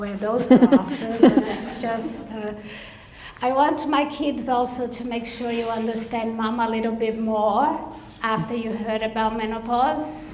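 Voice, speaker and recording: Audible room echo and noticeable background noise surround a woman speaking at a very slow pace in a Brazilian Portuguese accent. Her pitch is fairly high, with ordinary pitch variation. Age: 50s. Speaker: veteran support program leader. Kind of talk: conference speech. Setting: stage with audience.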